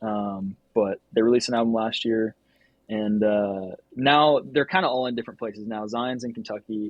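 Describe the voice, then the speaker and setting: An unremarkable speaking voice with an American accent. The pace is moderate and the pitch varies in an ordinary way. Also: man, medium pitch for a man. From Georgia, US South (Norcross, north of Atlanta). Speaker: photographer and filmmaker. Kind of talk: casual interview chat.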